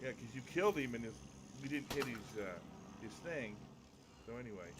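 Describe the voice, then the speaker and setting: Amid noticeable background noise and audible room echo, a man speaks at a fairly quick pace with lively intonation. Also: medium pitch for a man. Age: 60s. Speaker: gamer. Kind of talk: casual chat.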